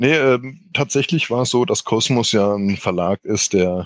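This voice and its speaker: Over a quiet background, a man with a fairly low pitch speaks at a fairly slow pace with very wide pitch swings, the sound dry and close with no echo. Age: 40s. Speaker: board game editor. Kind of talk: casual chat.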